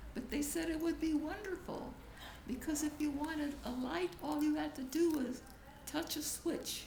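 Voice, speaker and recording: A woman speaks at a moderate pace, with noticeable background noise and audible room echo around her. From Crimea, Russia. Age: 90s. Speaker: grandmother interviewed about her life. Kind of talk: oral history interview. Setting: home video recording with family.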